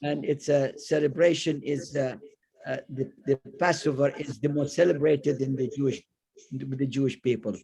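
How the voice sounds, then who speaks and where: A fairly high-pitched, somewhat breathy male voice, dark and mellow in tone, at a moderate pace with fairly even intonation. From Iraq, Baghdad. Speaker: community member. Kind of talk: personal reminiscence on video call. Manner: halting.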